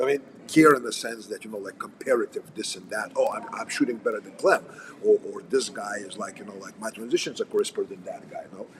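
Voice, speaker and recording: At a fairly quick pace, a man speaks with big swings in loudness over noticeable background noise. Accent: Russian. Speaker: firearms and combat instructor. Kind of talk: casual livestream chat. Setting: coffee house.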